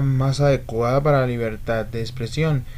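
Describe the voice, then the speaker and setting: A man at a moderate pace, with audible room echo. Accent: Colombian. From Colombia. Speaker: YouTube political commentator. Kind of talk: political commentary video. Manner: calm, not very effusive.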